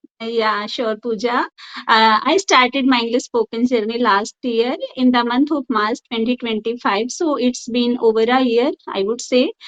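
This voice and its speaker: A woman's high-pitched voice with an Indian accent, ordinary pitch variation and a moderate pace. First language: Hindi. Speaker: school teacher. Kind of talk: interview. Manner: halting.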